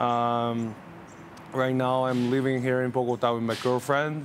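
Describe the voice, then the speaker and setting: A man speaks with a medium pitch in a monotone, flat intonation. Audible room echo surrounds his voice. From northeast China, Jilin Province. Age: 20s. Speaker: civil aviation professional, interview guest. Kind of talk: interview. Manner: hesitant, many fillers.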